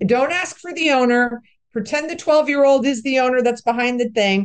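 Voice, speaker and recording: A woman's high-pitched voice with ordinary pitch variation. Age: 60s. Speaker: commercial real estate broker and investor. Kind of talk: interview.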